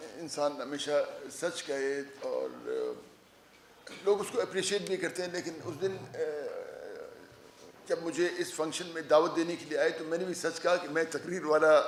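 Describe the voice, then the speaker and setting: With noticeable background noise behind him, a man speaks at a high pitch with fairly even intonation. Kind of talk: public speech at a press club.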